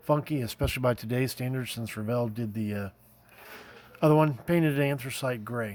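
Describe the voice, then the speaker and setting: Mumbling with an American accent, the man talks at a fairly quick pace and a medium pitch, with ordinary pitch variation. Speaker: scale model builder, YouTuber. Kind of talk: casual show-and-tell video. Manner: halting, many fillers; mumbling, rambling.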